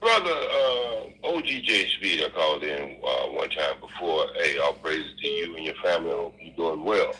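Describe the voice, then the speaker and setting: With a Southern US accent, a man talks at a moderate pace with hardly any pauses over noticeable background noise. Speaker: caller. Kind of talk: phone-in question. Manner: halting, many fillers.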